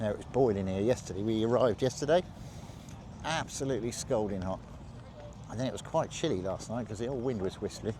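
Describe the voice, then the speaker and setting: A man at medium pitch talks very fast yet takes long, frequent pauses, with ordinary pitch variation. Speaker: vlogger filming a military vehicle show. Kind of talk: casual walkaround commentary. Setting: outdoors at a show. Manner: slurring words slightly.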